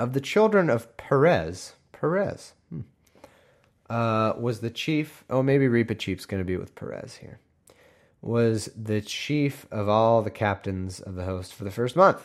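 In a very clean recording with a silent background, a man at medium pitch speaks fairly slowly with lively intonation and big swings in loudness. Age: 30s. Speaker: podcast host reading the Bible. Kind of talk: casual Bible reading with commentary. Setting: home recording room. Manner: halting.

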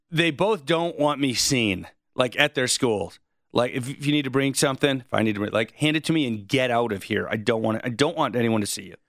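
At a fairly quick pace, the speaker uses an ordinary speaking voice with ordinary pitch variation. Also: man, medium pitch for a man. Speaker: radio host. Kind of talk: interview.

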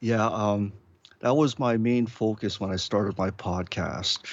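Very slowly and with fairly even intonation, a man speaks at a fairly low pitch. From Hawaii, Honolulu. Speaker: podcaster. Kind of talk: casual chat. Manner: halting, many fillers.

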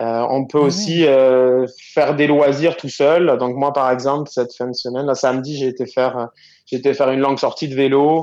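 A man with a fairly high voice talks at a moderate pace in a flat, monotone way. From southwestern France. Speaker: entrepreneur. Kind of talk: phone interview.

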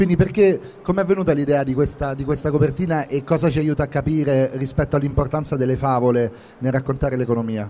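A man talks at a very fast pace. His voice is fairly high, with ordinary pitch variation. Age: 40s. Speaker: podcast host and novelist. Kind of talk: live interview. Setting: live event room at a book fair.

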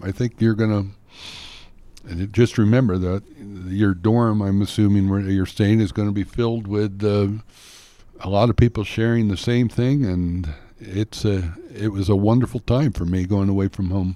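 A man speaks with an American accent in an ordinary speaking voice. His intonation is fairly even and his pace is moderate. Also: fairly low pitch for a man. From Pennsylvania. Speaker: retired teacher, panelist. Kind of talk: casual advice chat.

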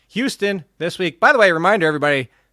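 On a very clean recording with a silent background, a man talks at a very fast pace with a bright, sharp tone and very wide pitch swings, the sound dry and close with no echo. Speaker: fantasy football podcast host. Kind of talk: casual chat. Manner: animated.

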